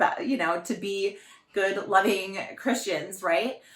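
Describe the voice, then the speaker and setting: Loud and animated, a woman speaks at a fairly slow pace with very wide pitch swings. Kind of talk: faith talk.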